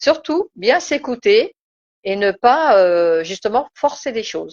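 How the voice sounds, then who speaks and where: Very slow and fairly high-pitched, a woman's voice swings very widely in pitch. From Turkish background. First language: Turkish (speaking French). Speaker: spiritual live-stream host. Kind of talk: casual live-stream discussion. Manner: hesitant, many fillers.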